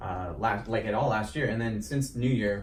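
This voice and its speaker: Noticeable background noise sits under a man speaking at a fairly quick pace. His pitch is medium, his intonation fairly even. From South Dakota. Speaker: radio show host. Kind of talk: casual interview questions.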